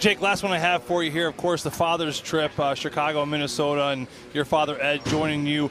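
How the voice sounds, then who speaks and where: A man speaks at a fairly high pitch with fairly even intonation. Noticeable background noise runs underneath. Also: fairly quick pace. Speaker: hockey analyst and co-commentator. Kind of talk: sports commentary and analysis.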